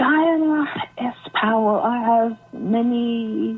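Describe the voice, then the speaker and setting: Her voice is fairly high for a woman, with noticeable background noise behind it. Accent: British. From UK, Jamaican heritage. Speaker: author. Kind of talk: interview. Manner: hesitant, many fillers.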